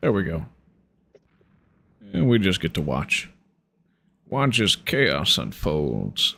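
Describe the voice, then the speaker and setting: A man with a very deep, low pitch, vocal fry and a bright, sharp tone speaks very slowly, his pitch swinging very widely between long, frequent pauses. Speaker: gaming streamer. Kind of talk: casual chat.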